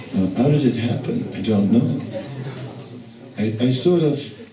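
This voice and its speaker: Through noticeable background noise and audible room echo, a man speaks at medium pitch. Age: 60s. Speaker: monk giving spiritual lectures. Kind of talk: lecture.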